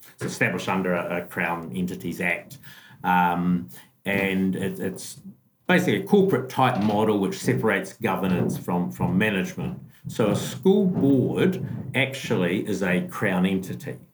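Over music in the background, a man with a New Zealand accent speaks in a very deep, low voice with very wide pitch swings. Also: moderate pace. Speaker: school business manager. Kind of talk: casual interview. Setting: video call across time zones.

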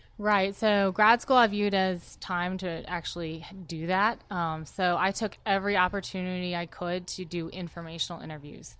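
A woman's normal speaking voice, medium in pitch with fairly even intonation, at a moderate pace with hardly any pauses, over a quiet background. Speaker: army veteran. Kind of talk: interview. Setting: studio.

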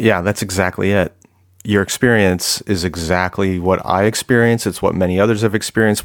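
A normal speaking voice from a man with a General American accent, fairly low in pitch with ordinary pitch variation, at a fairly quick pace, on a very clean recording with a silent background. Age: 40s. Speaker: author and former pastor. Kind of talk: casual interview conversation.

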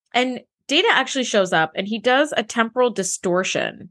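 Over a quiet background, a woman with a plain, everyday voice speaks at a moderate pace with lively intonation, the sound dry and close with no echo. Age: 40s. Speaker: podcast co-host. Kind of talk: casual chat.

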